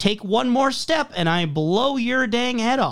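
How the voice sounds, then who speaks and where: In a put-on character voice with a fairly high pitch, the speaker goes at a fairly slow pace. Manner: joking threat.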